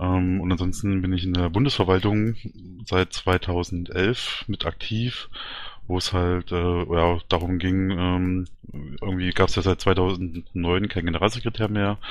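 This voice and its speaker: A man's very deep, low voice, fairly even in intonation, at a fairly slow pace. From Thuringia, Germany. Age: 30s. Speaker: party candidate, IT worker. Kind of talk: interview. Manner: hesitant, many fillers.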